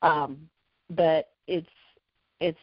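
This woman's voice is very deep and low, delivered in a flat monotone. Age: 50s. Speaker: personal chef. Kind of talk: casual chat.

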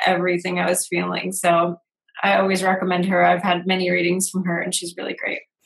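There's vocal fry in this woman's medium-pitched voice as she speaks at a fairly quick pace. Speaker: video show host. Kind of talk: casual interview chat.

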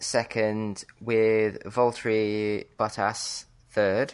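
With a British accent, a woman speaks at a very deep, low pitch and a very slow pace against a quiet background. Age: 30s. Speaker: podcast co-host. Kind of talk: casual chat.

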